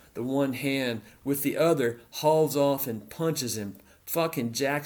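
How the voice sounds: Pitch varies in an ordinary way through a natural reading voice.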